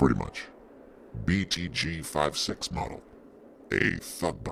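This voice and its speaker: Over clear background noise, a man uses a put-on character voice, very deep and low, at a fairly slow pace. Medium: audio drama. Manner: blunt, laconic.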